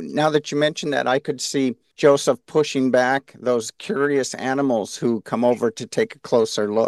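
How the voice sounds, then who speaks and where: A man with a plain, everyday voice and medium pitch talks at a moderate pace with hardly any pauses, in a dry, close sound with no echo. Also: ordinary pitch variation. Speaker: podcast co-host, organization president.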